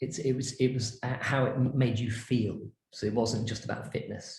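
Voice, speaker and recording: A man talks at a medium pitch. Room echo is audible in the recording. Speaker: branding and design consultant. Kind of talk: lecture. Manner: animated.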